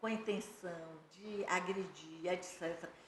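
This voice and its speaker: A woman speaks at a very slow pace with ordinary pitch variation, and audible room echo surrounds her voice. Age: 60s. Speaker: lawyer and animal rights advocate. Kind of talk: podcast interview.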